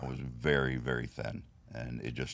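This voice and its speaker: A man's very deep, low-pitched voice with vocal fry and monotone, flat intonation. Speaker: bodybuilding competitor and trophy business owner. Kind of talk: casual interview.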